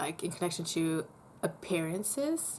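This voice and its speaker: Speaking with a German accent, a woman keeps a moderate pace. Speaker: vlogger. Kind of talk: casual chat. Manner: hesitant, with fillers and restarts.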